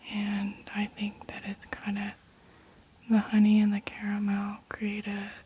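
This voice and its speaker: Over noticeable background noise, a soft-spoken woman with a medium pitch talks at a very slow pace. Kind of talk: ASMR perfume review.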